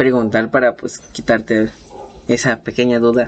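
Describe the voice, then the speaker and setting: The speaker has a Mexican accent. The pace is fairly slow. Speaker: podcast co-host. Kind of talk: casual chat. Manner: animated.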